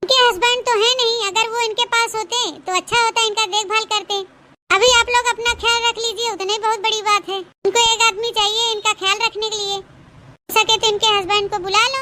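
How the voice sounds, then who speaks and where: A woman does a cartoonish character voice at an extremely high pitch. Her intonation is monotone and flat, at a moderate pace. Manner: polite, professional.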